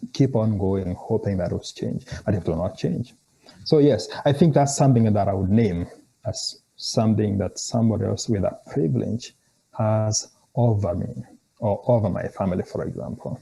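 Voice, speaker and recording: A man speaks at a moderate pace with a fairly low pitch. His tone is dark and mellow, and somewhat breathy. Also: ordinary pitch variation. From Kenya. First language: a Kenyan language. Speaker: theology scholar. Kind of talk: interview conversation. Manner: halting, with frequent repetitions.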